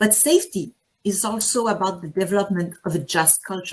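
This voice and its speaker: With a French accent, a woman speaks at a moderate pace and medium pitch, somewhat breathy, with ordinary pitch variation. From Quebec, Canada. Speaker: anesthesiologist and diving instructor. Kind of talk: conference talk.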